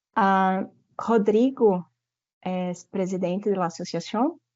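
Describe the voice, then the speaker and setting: Her pitch is medium with ordinary variation, in a Brazilian accent. The woman speaks at a very slow pace. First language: Portuguese (speaking Spanish). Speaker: university professor. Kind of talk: presentation at an online forum. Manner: halting, with fillers.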